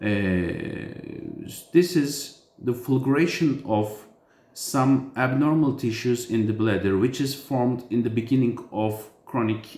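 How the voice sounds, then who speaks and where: A man speaks at a fairly slow pace with a non-native accent. Audible room echo is present. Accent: foreign accent in English. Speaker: urologist. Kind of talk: medical explainer. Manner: halting, many fillers.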